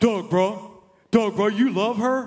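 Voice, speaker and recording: Putting on a gruff character voice, a man speaks at a high pitch with fairly even intonation. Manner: intimidating.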